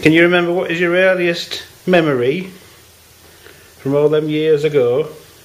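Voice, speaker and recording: A fairly high-pitched man with fairly even intonation and long, frequent pauses, over noticeable background noise. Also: moderate pace. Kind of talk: interviewer questions.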